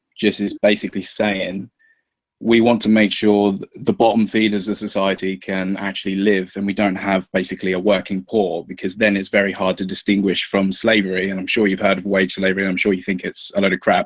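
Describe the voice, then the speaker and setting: This man speaks with a southern English accent at a fairly quick pace. His intonation is monotone and flat, on a very clean recording with a silent background. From England. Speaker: YouTuber guest in political discussion. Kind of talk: casual debate.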